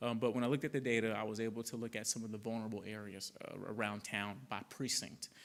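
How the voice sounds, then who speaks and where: A man at medium pitch, very fast with hardly any pauses, monotone and flat, with a slight Southern US accent. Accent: slight Southern twang. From Arkansas (Conway). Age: 30s. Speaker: public health director. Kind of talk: public talk with Q&A. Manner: many fillers and restarts.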